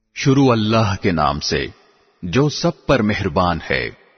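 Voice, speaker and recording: This man has a fairly low pitch, very wide pitch swings and vocal fry. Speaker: Urdu translation voice-over reader. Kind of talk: religious translation reading.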